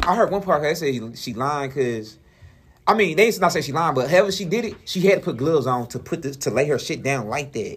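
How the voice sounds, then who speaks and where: A man's somewhat breathy voice, very fast, with lively intonation. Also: fairly high pitch for a man. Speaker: radio show co-host. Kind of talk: casual chat.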